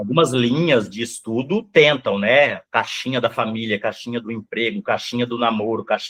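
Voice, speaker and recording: With hardly any pauses, a man speaks at medium pitch and ordinary pitch variation. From Brazil, Rondônia (born Mato Grosso do Sul). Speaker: psychoanalyst. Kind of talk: interview. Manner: fast.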